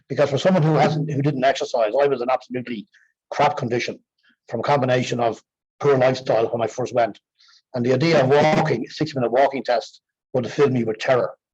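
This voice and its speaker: Speaking at a very fast pace in an Irish accent, a man with a medium pitch sounds somewhat breathy, his intonation fairly even. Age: 60s. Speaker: exercise programme participant. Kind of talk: testimony.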